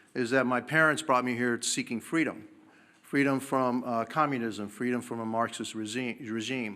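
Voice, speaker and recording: A man's medium-pitched voice with a bright, sharp tone, moderate pace and ordinary pitch variation, in a very clean recording with a silent background. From Cuba, raised in Miami. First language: Spanish. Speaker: congressman, former mayor and firefighter. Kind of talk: press conference statement. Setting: press conference.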